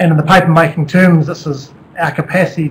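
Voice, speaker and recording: In a New Zealand accent, a man talks at a fairly quick pace with a fairly high pitch and monotone, flat intonation. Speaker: company executive. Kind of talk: presentation. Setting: webcast.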